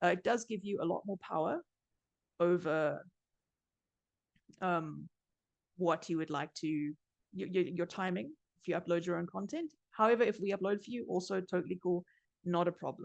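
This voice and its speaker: The sound is dry and close, with no echo. A woman speaks at a fairly low pitch with ordinary pitch variation and long, frequent pauses. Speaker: journal platform staff presenter. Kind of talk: webinar presentation. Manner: fast.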